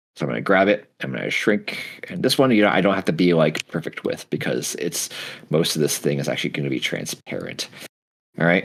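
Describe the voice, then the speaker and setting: A man with a very deep, low voice and vocal fry swings his pitch very widely. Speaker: 3D modeling instructor. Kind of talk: tutorial. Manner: halting.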